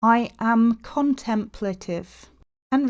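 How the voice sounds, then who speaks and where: A woman speaks at a fairly high pitch with ordinary pitch variation. The recording is very clean, with a silent background. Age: 30s. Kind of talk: personal podcast monologue. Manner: stilted; pauses often.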